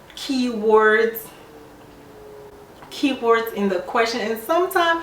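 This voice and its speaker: Noticeable background noise runs behind a woman's voice. She talks at a fairly slow pace with a fairly high pitch. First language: not English. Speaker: nurse. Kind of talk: casual talk to camera.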